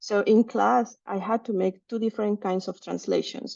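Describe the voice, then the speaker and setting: Speaking at a moderate pace, a woman with a Spanish accent uses a medium pitch. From Mexico City, Mexico. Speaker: researcher. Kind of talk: seminar talk. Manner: halting, many fillers.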